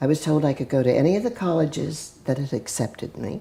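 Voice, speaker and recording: A woman with an American accent, a very deep, low pitch, a dark, mellow tone, some breathiness, lively intonation and a very fast pace. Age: 70s. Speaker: actress. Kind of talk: interview. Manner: halting.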